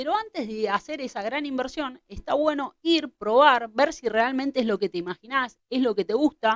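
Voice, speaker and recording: A woman speaks at a moderate pace in an Argentine accent, her pitch fairly high with ordinary variation. The sound is dry and close, with no echo. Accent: Argentine Spanish (Rioplatense). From Argentina. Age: 30s. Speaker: kitesurf instructor. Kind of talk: tutorial.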